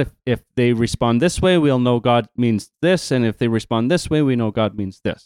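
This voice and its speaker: An ordinary speaking voice: a man with a Canadian accent talks at medium pitch and a moderate pace, with ordinary pitch variation. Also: dry, close sound with no echo. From Canada. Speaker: podcast host and camp worker. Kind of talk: casual podcast chat about Bible story.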